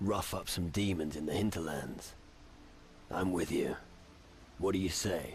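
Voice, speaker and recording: A man uses a put-on character voice with a very deep, low pitch and fairly even intonation. He speaks at a moderate pace with long, frequent pauses over clear background noise. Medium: video game. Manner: cocky, wry.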